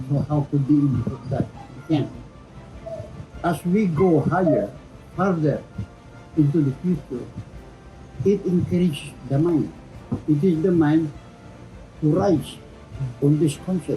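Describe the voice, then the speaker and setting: Music plays behind a man whose fairly high voice shows ordinary pitch variation and long, frequent pauses. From Philippines. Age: 80s+. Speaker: Freemason. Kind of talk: interview answer.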